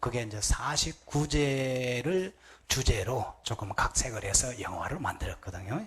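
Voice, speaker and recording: A medium-pitched man's voice with a slight Gyeongsang accent. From Gyeongsang Province, Korea. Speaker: Buddhist monk. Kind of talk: sermon.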